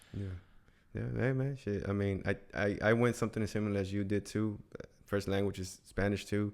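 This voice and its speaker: A man with an American accent uses an ordinary speaking voice, fairly low in pitch, with fairly even intonation at a fairly quick pace. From Houston, Texas. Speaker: podcast host. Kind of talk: casual interview chat. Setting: studio.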